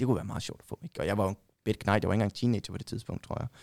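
A man talks at medium pitch with ordinary pitch variation in a dry, close sound with no echo. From Denmark, Vejle. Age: 30s. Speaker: football shirt collector. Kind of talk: casual chat.

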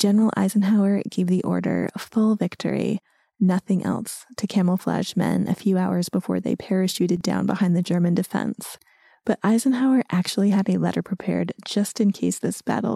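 A woman with an American accent speaks at a moderate pace. The sound is dry and close, with no echo. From US. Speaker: podcast host. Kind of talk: scripted narration.

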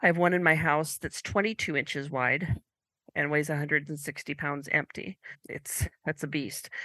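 A bright, sharp tone with an American accent comes through at a moderate pace, the sound dry and close with no echo against a quiet background. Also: woman, very deep, low pitch for a woman, ordinary pitch variation. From US Pacific Northwest (rural northeastern Oregon). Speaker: Dutch oven cooking instructor. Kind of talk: casual interview.

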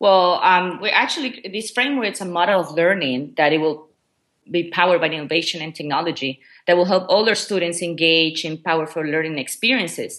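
Against a quiet background, a woman with a Spanish accent talks at a fairly quick pace in a fairly low pitch, with ordinary pitch variation. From Ecuador. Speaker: education technology coordinator. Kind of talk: interview. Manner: hesitant, many fillers.

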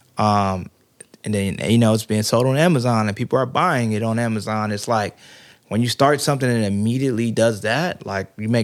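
Heard in a normal speaking voice with an American accent, the speech moves at a moderate pace with ordinary pitch variation. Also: man. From US Mid-Atlantic (Prince George's County, Maryland). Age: 30s. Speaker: photographer and director. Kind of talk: casual interview.

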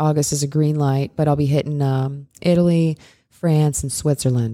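With an American accent, a woman speaks at a fairly quick pace in a very deep, low voice. Her tone is dark and mellow, her intonation monotone and flat. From US Midwest. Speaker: firearms instructor. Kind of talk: casual interview.

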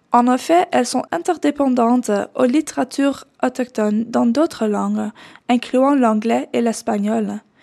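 A woman speaks in a Dutch accent at a high pitch, with a dark, mellow tone and ordinary pitch variation. Her fairly slow delivery is captured in a very clean recording with a silent background and a dry, close sound with no echo. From Netherlands. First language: Dutch (speaking French). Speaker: doctoral researcher. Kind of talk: scripted narration.

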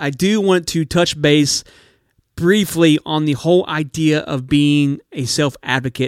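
In a very clean recording with a silent background, a man uses an ordinary speaking voice at a fairly slow pace, with fairly high pitch, ordinary pitch variation and a dry, close sound with no echo. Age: 30s. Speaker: podcast host living with type 1 diabetes. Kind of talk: personal storytelling monologue. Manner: warm, upbeat.

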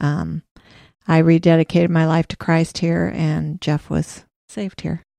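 A woman speaks at a fairly slow pace with a Midwestern US accent, her dark, mellow tone sitting fairly low in pitch and her intonation monotone and flat, in a dry, close recording with no echo and a quiet background. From Iowa. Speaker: church administrative assistant. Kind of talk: casual interview.

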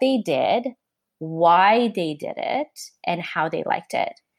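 Speech in a Canadian accent comes at a fairly slow pace with lively intonation. The recording is very clean, with a silent background. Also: woman. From Canada. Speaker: entrepreneur and marketing executive. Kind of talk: interview.

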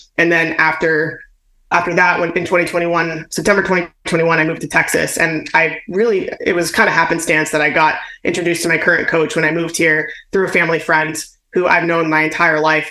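The speaker talks at a fairly quick pace in a monotone, flat intonation, and audible room echo fills the recording. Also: woman, fairly low pitch for a woman. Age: 30s. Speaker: weightlifter and kettlebell trainer. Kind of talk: interview.

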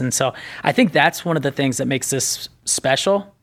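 In a plain, everyday voice with an American accent, the speaker goes at a fairly quick pace on a very clean recording with a silent background. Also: man. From northern Indiana. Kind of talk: casual interview.

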